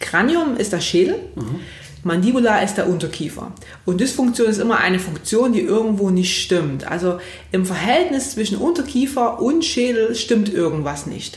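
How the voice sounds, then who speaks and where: A woman's fairly high voice swings very widely in pitch, with audible room echo and noticeable background noise. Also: moderate pace. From Saxony, near Leipzig. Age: 30s. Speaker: physiotherapist. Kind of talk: podcast interview.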